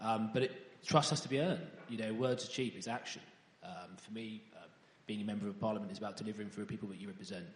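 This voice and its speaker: Talking at a very fast pace in a room with audible echo, a man uses a fairly low pitch with ordinary pitch variation and big swings in loudness. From East Anglia, England. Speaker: parliamentary candidate. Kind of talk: interview. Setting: church. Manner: halting.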